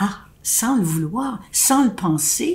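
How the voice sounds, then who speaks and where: A woman speaks with lively intonation. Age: 90s. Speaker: elderly speaker addressing seniors. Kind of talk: direct-to-camera address. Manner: halting.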